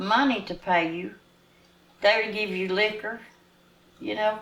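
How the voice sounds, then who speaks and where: In a Southern US accent, a woman speaks at a fairly slow pace and a fairly high pitch. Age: 80s+. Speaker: former student, oral history interviewee. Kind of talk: interview answer.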